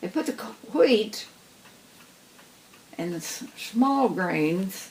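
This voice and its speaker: Over noticeable background noise, a woman speaks very slowly at a fairly high pitch, her voice making very wide pitch swings. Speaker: farm family elder recalling the past. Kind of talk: interview answer. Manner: casual, reminiscing.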